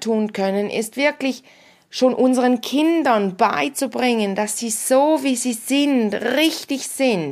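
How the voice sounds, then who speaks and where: A woman's very slow delivery at a high pitch, with ordinary pitch variation. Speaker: podcast host and Theta Healing practitioner. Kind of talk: solo podcast monologue. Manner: casual, animated.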